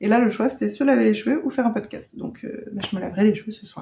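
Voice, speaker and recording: This woman talks at a fairly quick pace. Her pitch is fairly high and moves with ordinary variation. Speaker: knitting podcaster. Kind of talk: casual vlog chat. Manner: hesitant, many fillers.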